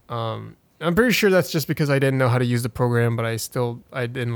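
This is a man with a plain, everyday voice. He speaks at a fairly quick pace and medium pitch. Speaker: podcast host. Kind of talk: casual chat. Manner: filler-heavy, casual.

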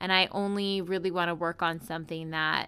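A woman with an unremarkable speaking voice talks at a moderate pace with fairly even intonation. The recording is very clean, with a silent background. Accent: American. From US East Coast. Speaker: podcast producer and co-host. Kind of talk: interview.

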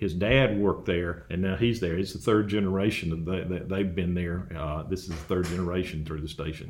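Hardly any pauses break this man's speech. He has a very deep, low pitch and an Alabama accent. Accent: US Southern (Alabama). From Alabama (Dothan). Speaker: agricultural researcher. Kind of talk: interview.

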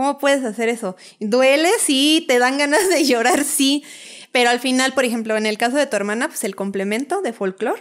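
Heard in a very clean recording with a silent background, a woman with a high pitch speaks with lively intonation. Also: moderate pace. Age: 30s. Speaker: architect and dancer. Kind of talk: storytelling interview.

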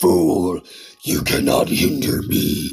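A man puts on a character voice. It is very deep and low, with a hissing sound.

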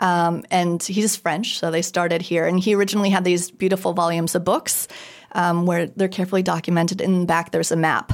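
A woman speaks fairly quickly with a General American accent and a fairly low pitch. Her intonation is monotone and flat, and her loudness very even. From US, moved around (Minnesota, Kansas, Idaho, Virginia). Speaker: designer and Paris tour guide. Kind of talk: casual interview.

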